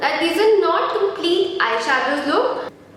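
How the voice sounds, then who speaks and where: A woman at a fairly slow pace with an extremely high pitch, plus audible room echo and noticeable background noise. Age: 20s. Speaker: beauty vlogger. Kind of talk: tutorial.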